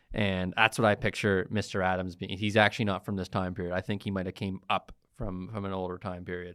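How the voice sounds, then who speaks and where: Very fast, with hardly any pauses, a man speaks at a very deep, low pitch in a dry, close recording with no echo that is very clean, with a silent background. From Halifax, Nova Scotia, Canada. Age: 20s. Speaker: podcast co-host. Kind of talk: casual chat. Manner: animated.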